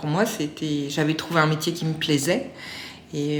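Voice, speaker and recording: A woman speaks with a fairly low pitch. Some room echo can be heard. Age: 40s. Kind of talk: testimony. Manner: halting, many hesitations.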